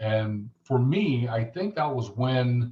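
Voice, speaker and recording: A man with an American accent speaks very slowly at a medium pitch, his tone dark and mellow and somewhat breathy. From Los Angeles, US West Coast. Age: 60s. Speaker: Marine veteran and retired firefighter. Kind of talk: interview testimony.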